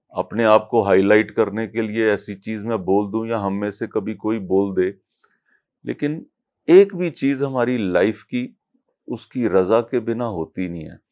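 A man's fairly low pitch, with ordinary pitch variation, comes through against a quiet background. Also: fairly slow pace. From Punjab, India. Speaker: devotee sharing experiences; interviewee. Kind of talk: interview testimony. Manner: halting. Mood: reflective, devotional. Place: home room. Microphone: lapel.

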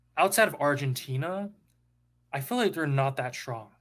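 This man has a fairly high pitch. His intonation is lively. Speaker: caller. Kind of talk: casual call-in chat. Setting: voice call with quiet microphone.

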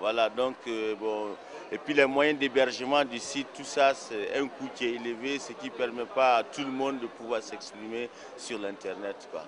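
A man at medium pitch, moderate pace, fairly bright tone and fairly even intonation, with faint background noise

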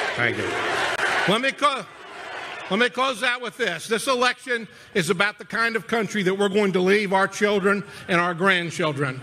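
A man's raised, projected voice, high in pitch with lively intonation, at a moderate pace with long, frequent pauses and noticeable background noise. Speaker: party chairman and political speaker. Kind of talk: rally speech. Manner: emphatic, fiery; rhetorical, building in repeated phrases. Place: stadium. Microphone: podium.

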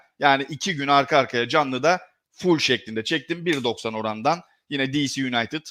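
A man talks with ordinary pitch variation and a bright, sharp tone. The recording is very clean, with a silent background. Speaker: sports betting analyst. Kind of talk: live stream commentary. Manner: fast.

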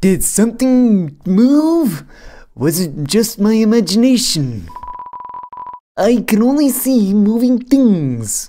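Very slow, high-pitched speech from a man in a put-on character voice. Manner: suspicious, gruff.

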